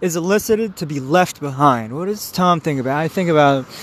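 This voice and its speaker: This man's fairly high-pitched voice comes through over noticeable background noise. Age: 30s. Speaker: solo podcaster. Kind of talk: rambling monologue. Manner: halting; laughs often.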